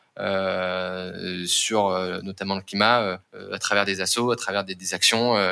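With ordinary pitch variation, a man's voice comes through bright and sharp in tone. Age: 20s. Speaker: climate impact manager at a startup. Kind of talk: interview.

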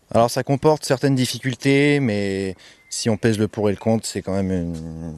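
In an ordinary speaking voice, a man talks at a moderate pace with lively intonation, the sound dry and close with no echo. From France, Samois-sur-Seine. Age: 20s. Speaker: musician. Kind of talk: interview. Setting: outdoors.

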